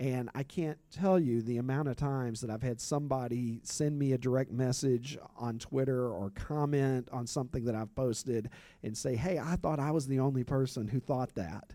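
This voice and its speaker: On a very clean recording with a silent background, a man of medium pitch speaks at a moderate pace in a dark, mellow tone, with ordinary pitch variation and hardly any pauses. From Kentucky. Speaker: sociology professor and sports social media creator. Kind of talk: panel discussion.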